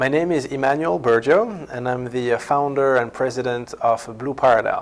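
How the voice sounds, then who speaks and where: Speaking at a moderate pace in a French accent, the voice comes through noticeable background noise. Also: man, medium pitch for a man, ordinary pitch variation. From France. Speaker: company founder. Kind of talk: company introduction. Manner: halting, many fillers and repetitions.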